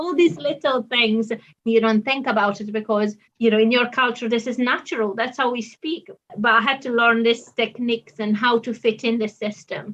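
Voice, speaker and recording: At a moderate pace, a woman with an Italian accent speaks in a fairly high pitch with ordinary variation. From Italy. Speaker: doctor. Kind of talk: interview.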